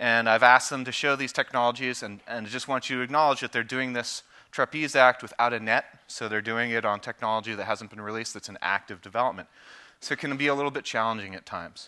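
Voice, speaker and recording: A man talks at a very fast pace in a bright, sharp tone. His intonation stays fairly even against a quiet background. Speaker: presenter. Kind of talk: conference presentation. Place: stage. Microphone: headset.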